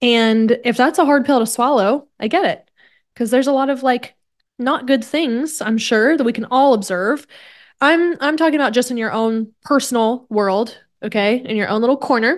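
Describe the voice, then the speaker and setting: In a Midwestern US accent, a woman speaks at a moderate pace with a high pitch and ordinary pitch variation, over a quiet background. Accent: General American, Midwestern. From Kansas, US Midwest. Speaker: podcast host, wellness coach. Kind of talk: solo podcast monologue. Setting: at home desk. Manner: casual, animated.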